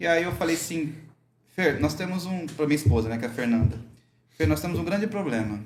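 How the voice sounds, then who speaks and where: In a room with audible echo, a man with a fairly high pitch and vocal fry talks fairly quickly with lively intonation, stopping often for long pauses. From Brazil, rural. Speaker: microgreens entrepreneur, veterinarian. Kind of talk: casual chat.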